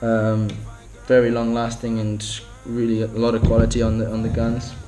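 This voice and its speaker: Over noticeable background noise, a man with a medium pitch talks at a moderate pace in a monotone, flat delivery. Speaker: spearfisher. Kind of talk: product review talk to camera.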